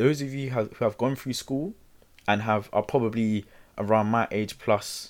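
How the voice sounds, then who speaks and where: A normal speaking voice from a man, medium in pitch, with fairly even intonation at a moderate pace, in a very clean recording with a silent background. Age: 20s. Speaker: self-help podcast host. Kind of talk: solo motivational talk. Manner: casual, repetitive fillers.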